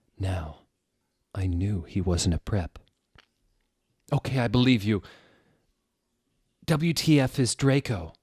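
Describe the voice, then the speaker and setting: Very slowly and with long, frequent pauses, a man speaks in a fairly low, somewhat breathy voice. His pitch swings very widely, and the sound is dry and close with no echo. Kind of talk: comedic dramatic reading of fan fiction.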